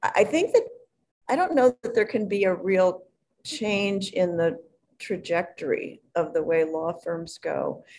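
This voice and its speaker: A woman with a plain, everyday voice and an American accent, medium pitch, lively intonation and a fairly slow pace. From Chicago area (Hinsdale, Illinois). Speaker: retired real estate lawyer. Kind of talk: interview.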